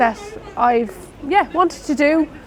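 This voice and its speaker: Against noticeable background noise, a woman in an Irish Midlands accent speaks at a moderate pace with lively intonation. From Ireland, Roscommon. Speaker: nurse. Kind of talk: interview.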